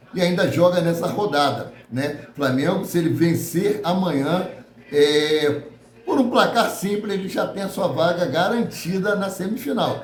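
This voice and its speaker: Noticeable background noise and audible room echo accompany a man speaking at a high pitch. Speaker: football news youtuber. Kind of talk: casual news commentary.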